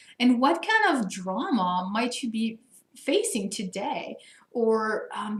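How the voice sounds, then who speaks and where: Somewhat breathy and fairly high in pitch, a woman speaks with a French accent. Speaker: coach for higher education administrators. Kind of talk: Q&A video answering participant questions. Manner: animated.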